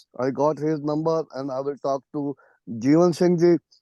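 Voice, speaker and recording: This dark, mellow tone carries fairly even intonation in a dry, close sound with no echo. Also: man, quiet background. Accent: strong Punjabi. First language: Punjabi. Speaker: professor. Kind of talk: Q&A discussion comment.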